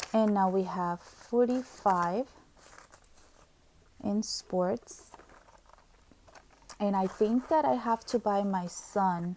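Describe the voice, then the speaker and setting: Her tone is dark and mellow, and this woman sounds somewhat breathy. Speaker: budgeting YouTuber. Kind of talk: casual tutorial, cash envelope budgeting. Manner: chatty, rambling with false starts.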